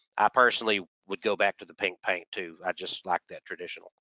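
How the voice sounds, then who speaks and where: At a fairly quick pace, a man talks with a bright, sharp tone. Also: dry, close sound with no echo, quiet background. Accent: Texan. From Texas. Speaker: aviation historian and aircraft mechanic. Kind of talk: lecture. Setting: video call.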